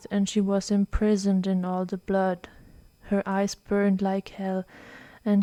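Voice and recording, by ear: Text is being read aloud in a natural voice.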